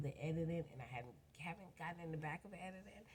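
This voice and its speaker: A woman speaks at a fairly quick pace in a very deep, low pitch, her dark, mellow tone somewhat breathy and her intonation fairly even. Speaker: vlogger. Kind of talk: casual rant. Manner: rambling, unstructured.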